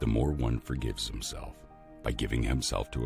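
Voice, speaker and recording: With music in the background, a man speaks at a moderate pace in a very deep, low pitch and a calm, soothing tone. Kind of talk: motivational quote reading.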